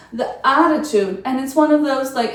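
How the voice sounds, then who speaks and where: A woman with a non-native accent talks at a fairly quick pace and ordinary pitch variation, with audible room echo and noticeable background noise. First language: not English. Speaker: lifestyle and travel vlogger. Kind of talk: casual review monologue to camera. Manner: conversational, with hesitations and fillers.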